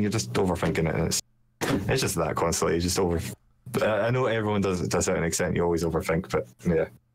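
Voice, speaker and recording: A man with a very deep, low pitch and lively intonation, talking at a very fast pace amid audible room echo. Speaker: streamer. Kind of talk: casual chat.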